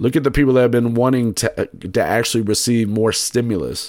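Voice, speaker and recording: A man talks at a moderate pace in an unremarkable speaking voice of medium pitch. The recording is very clean, with a silent background. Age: 30s. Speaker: podcast host. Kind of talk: solo podcast monologue. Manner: casual, with many fillers.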